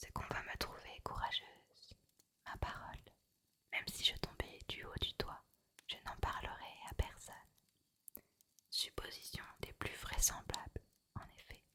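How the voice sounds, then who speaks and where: A woman whispers fairly slowly, breaking her words with long, frequent pauses. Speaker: ASMR creator. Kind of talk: whispered reading of a novel for sleep. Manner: whispered, soft, slow.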